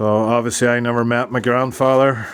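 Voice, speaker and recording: A man with a Northern Irish accent speaks at a moderate pace in a medium pitch, his intonation flat and monotone. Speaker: YouTube channel host interviewing his uncle. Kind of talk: casual conversation.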